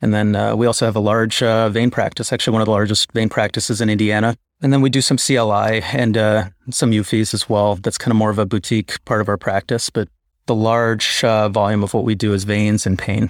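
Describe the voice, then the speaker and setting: Monotone, flat intonation at a fairly quick pace, in an American accent, with very even loudness and a dry, close sound with no echo. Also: man, fairly low pitch for a man. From Chicago. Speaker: interventional radiologist. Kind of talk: casual interview. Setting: video call.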